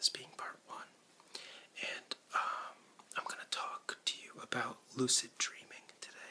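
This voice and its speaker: Whispering, a man lets his loudness swing widely. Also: fairly slow pace. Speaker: ASMR creator. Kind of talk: relaxation presentation. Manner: whispered, soft-spoken. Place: home room. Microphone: webcam.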